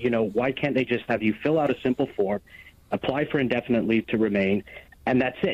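This is a man with an American accent. He has an ordinary speaking voice at a medium pitch. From United States. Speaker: caller. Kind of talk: phone-in call. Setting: phone call.

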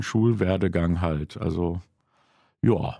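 A man talks at a fairly slow pace with a dark, mellow tone and very wide pitch swings. The sound is dry with no echo, and the background is quiet. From Krefeld, Lower Rhine, Germany (moved from Poland at five); Germany. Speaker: jazz club owner; podcast guest. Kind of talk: casual chat. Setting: studio. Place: studio.

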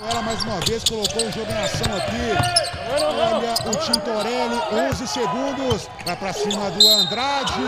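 The speech comes at a fairly slow pace against noticeable background noise. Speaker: basketball commentator. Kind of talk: live sports commentary. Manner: animated, exclaiming.

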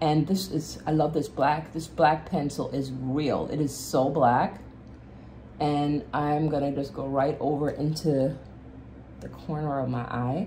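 A woman's very deep, low voice at a fairly slow pace, with light background noise. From Jamaica. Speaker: beauty vlogger. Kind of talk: casual makeup tutorial chat. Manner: animated. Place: home room. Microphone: phone near.

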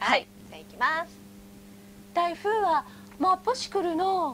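A woman's playful, extremely high voice, fairly slow, with lively intonation, big swings in loudness and light background noise. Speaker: TV announcer. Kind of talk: dialect lesson segment. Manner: friendly, playful. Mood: cheerful, playful. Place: studio. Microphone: lapel.

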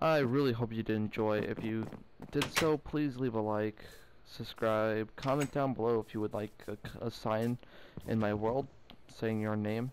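At a fairly slow pace, a man talks in a medium-pitched voice. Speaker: gaming youtuber. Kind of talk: gameplay commentary. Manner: animated.

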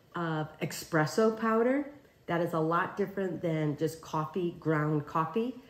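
Audible room echo around a woman speaking at a fairly slow pace. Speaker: home cook host. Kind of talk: tutorial. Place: kitchen.

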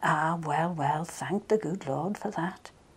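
A woman speaks with a Manx accent. Her pace is very slow. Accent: Manx, Maughold. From Isle of Man. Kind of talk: poetry reading.

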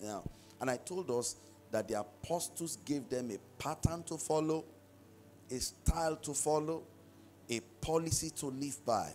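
A man at a fairly slow pace with long, frequent pauses and ordinary pitch variation, faint music in the background. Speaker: pastor. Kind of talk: sermon. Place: church. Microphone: handheld.

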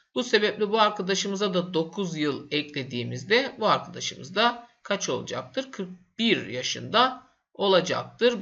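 A man talks at a very slow pace in a high pitch. His voice makes very wide pitch swings. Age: 30s. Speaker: math teacher. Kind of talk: tutorial. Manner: casual, with fillers.

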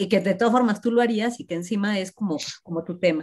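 This woman talks very fast, her pitch varying in an ordinary way, with a quiet background. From Mexico. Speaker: university professor, seminar organizer; university professor. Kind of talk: casual chat; interview questions and discussion. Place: home room. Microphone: video call.

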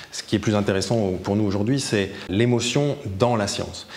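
The man's voice is fairly low in pitch, with ordinary pitch variation. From France. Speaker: science communicator; science communication trainer. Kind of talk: interview; interview answer. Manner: hesitant with repetitions. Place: hall.

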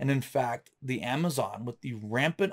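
Against a quiet background, a man with a fairly high pitch and a somewhat breathy voice speaks at a fairly slow pace. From US South, North Florida. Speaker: science educator. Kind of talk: lecture. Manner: casual. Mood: relaxed, enthusiastic.

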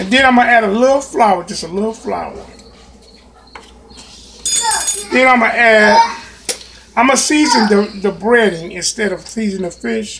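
High-pitched male speech at a moderate pace, with ordinary pitch variation, long, frequent pauses and noticeable background noise. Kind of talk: cooking tutorial. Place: kitchen. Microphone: phone near.

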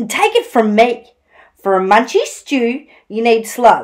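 Quiet surroundings and an unforced reading voice

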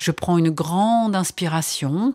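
In a very clean recording with a silent background and a dry, close sound with no echo, a woman uses an ordinary speaking voice at a fairly low pitch with ordinary pitch variation. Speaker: sophrologist and author. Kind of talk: guided relaxation exercise for children. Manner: calm, soothing, slow.

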